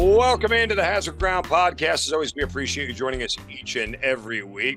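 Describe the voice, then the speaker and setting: Very wide pitch swings mark speech at a fairly quick pace, with music in the background. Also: man. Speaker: podcast host. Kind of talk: podcast intro.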